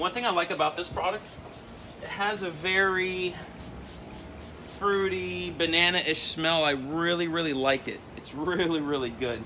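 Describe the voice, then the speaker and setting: A man's high voice with ordinary pitch variation, long, frequent pauses and noticeable background noise. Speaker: auto detailing youtuber. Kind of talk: product review tutorial. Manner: fast; casual, with fillers.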